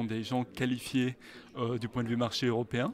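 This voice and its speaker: The speaker is a man with a medium pitch. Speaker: search engine director. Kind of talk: interview. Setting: conference. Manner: halting, many hesitations.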